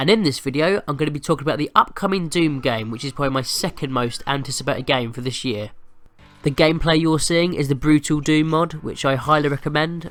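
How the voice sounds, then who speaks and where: Someone talks at a very fast pace with music playing in the background. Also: man, fairly high pitch for a man, ordinary pitch variation. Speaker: gaming video host. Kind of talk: casual commentary over gameplay.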